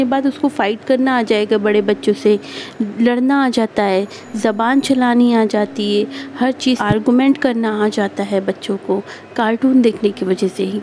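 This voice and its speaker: Light background noise sits behind a woman's voice. She talks at a fairly slow pace with ordinary pitch variation. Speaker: speaker. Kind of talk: advice talk to viewers. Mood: earnest, warning. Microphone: phone near.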